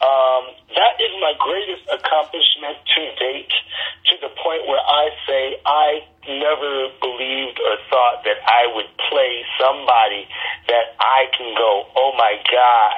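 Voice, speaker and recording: Over noticeable background noise, a man with an American accent speaks at a very slow pace, his medium pitch showing ordinary variation. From Detroit, US. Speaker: actor. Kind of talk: casual interview.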